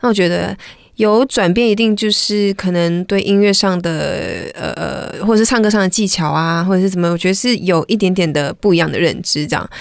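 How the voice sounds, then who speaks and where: A woman talks at a fairly quick pace in a normal speaking voice, medium in pitch with ordinary pitch variation. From Malaysia. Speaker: R&B singer-songwriter. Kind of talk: casual interview chat.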